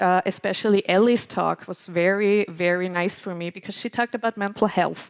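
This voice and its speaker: A woman at medium pitch speaks with fairly even intonation in a dry, close sound with no echo. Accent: non-native. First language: German. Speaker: podcast host and moderator. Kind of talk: live podcast event moderation. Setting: stage with audience. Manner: hesitant, many fillers.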